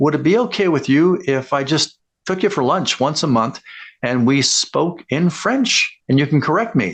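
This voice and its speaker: A man with an ordinary speaking voice and a Canadian accent talks at a fairly high pitch with lively intonation and very even loudness, in a quiet background. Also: moderate pace. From Alberta, western Canada. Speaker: customer service speaker. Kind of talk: talking-head tutorial.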